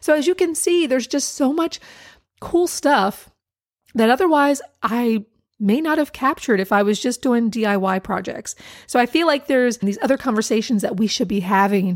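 Here a woman speaks at a high pitch. Her pitch swings very widely. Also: moderate pace. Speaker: DIY blogger and podcast host. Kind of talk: casual solo podcast monologue. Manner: chatty, laughs often.

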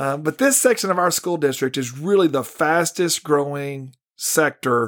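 A man with a Texan accent speaks at a moderate pace in a fairly high pitch, recorded very cleanly against a silent background. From North Texas, Ellis County farm town. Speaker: school superintendent. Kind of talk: interview.

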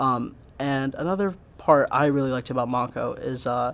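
Using an unremarkable speaking voice, a man with an American accent talks at a fairly high pitch with ordinary pitch variation. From Pennsylvania, US (Pottstown). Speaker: engineer. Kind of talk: interview. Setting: on campus, in person.

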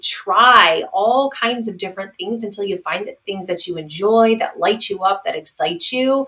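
A normal speaking voice from a woman, fairly high in pitch, with lively intonation at a moderate pace. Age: 40s. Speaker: divorce recovery coach. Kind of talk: interview.

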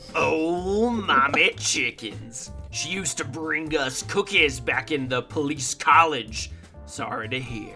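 Clear music plays in the background as the speaker uses a Southern US accent. The pace is fairly slow and the intonation lively. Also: man, fairly high pitch for a man. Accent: American Southern. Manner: smug, taunting.

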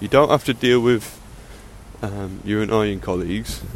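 Fairly slow speech in an English accent, with ordinary pitch variation. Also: man. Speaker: podcaster. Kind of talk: casual monologue. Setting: outdoors on a walk, recorded on earphone mic. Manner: casual, unscripted.

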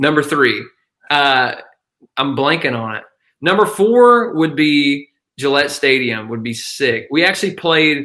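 Using lively intonation, a man with a Southern US accent talks fairly slowly at a fairly high pitch, with long, frequent pauses. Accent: Southern US (Georgia). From northeast Georgia, US South. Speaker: country musician. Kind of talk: casual chat.

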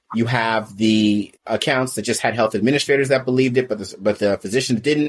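With a normal speaking voice at a medium pitch, a man talks at a fairly quick pace with fairly even intonation and hardly any pauses. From US West Coast, California Bay Area. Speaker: sales coach and company founder. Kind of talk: interview conversation.

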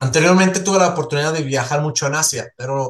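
Fairly quick, fairly high male speech with normal pitch movement. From Switzerland, small village. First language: not Spanish (Swiss) (speaking Spanish). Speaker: entrepreneur. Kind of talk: interview conversation.

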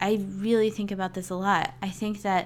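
At a fairly slow pace and medium pitch, a woman talks in an unremarkable speaking voice. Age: 30s. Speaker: flutist and mindset coach for musicians. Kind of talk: solo podcast monologue. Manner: casual, with many fillers.

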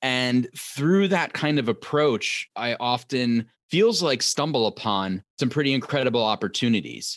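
In a normal speaking voice with an American accent, a man at medium pitch speaks at a fairly slow pace with lively intonation, hardly any pauses and very even loudness, in a dry, close sound with no echo. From New York tri-state area. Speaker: TV writer and author. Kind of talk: interview.

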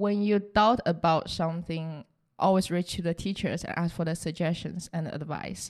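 Speech in a Chinese accent carries fairly even intonation. The recording is very clean, with a silent background. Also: woman. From southern China. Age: 20s. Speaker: recent graduate and operations analyst. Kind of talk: interview.

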